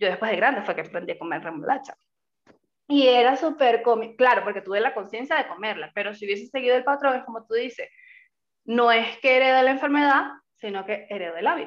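A woman talks at a very fast pace in a fairly high pitch, with lively intonation and big swings in loudness. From Venezuela. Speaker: podcast co-host. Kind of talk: casual chat.

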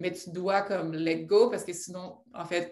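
A woman talks at a moderate pace in a fairly low pitch. The room echo is audible. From Quebec, Abitibi. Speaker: entrepreneur. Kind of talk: interview.

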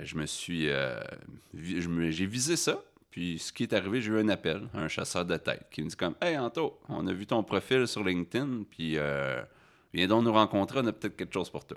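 A man's very deep, low voice with very wide pitch swings at a moderate pace on a very clean recording with a silent background. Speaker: farmer and human resources manager. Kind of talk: interview.

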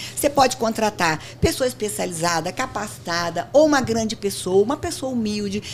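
Very wide pitch swings mark this woman's fairly high voice. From Brazil, interior of São Paulo state (Barretos). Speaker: company founder and CEO. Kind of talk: interview.

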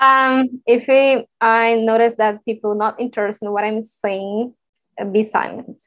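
In a Brazilian Portuguese accent, a woman with a fairly high voice speaks at a fairly slow pace in a monotone, flat way, with a dry, close sound and no echo. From northeast Brazil, Recife. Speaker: technology professional. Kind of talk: casual English practice conversation. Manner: halting, searching for words.

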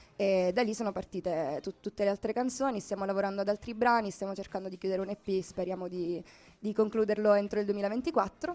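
Noticeable background noise sits behind this woman's voice. She speaks fairly quickly at a medium pitch with ordinary pitch variation. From Sicily. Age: 20s. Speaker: singer-songwriter. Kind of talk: radio interview. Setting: live radio from a shop window.

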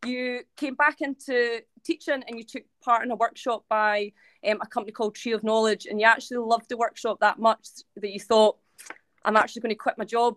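Speaking with a Scottish accent at a fairly quick pace, a woman uses a fairly high pitch, the sound dry and close with no echo. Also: fairly even intonation. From Scotland, Ayrshire. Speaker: podcast host, school staff. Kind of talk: introduction of guest. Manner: hesitant with many fillers.

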